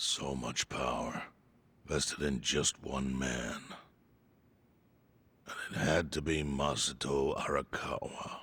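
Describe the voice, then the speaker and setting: Using a put-on character voice, a man speaks at a very deep, low pitch with a raspy sound, fairly slow pace, monotone, flat intonation, very even loudness, and long, frequent pauses. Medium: video game. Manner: measured, grave.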